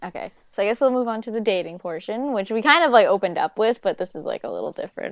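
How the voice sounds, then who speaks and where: A woman speaks at a fairly quick pace, her fairly high voice full of lively intonation. The sound is dry and close with no echo, on a very clean recording with a silent background. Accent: New York. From New York. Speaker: podcast co-host. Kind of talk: casual chat. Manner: animated.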